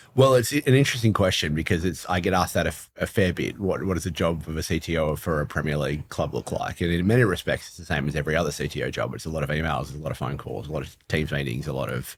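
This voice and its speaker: A man's very fast, very deep and low voice with an Australian accent, vocal fry, lively intonation and hardly any pauses. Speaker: football club technology executive. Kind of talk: podcast interview. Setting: live event venue.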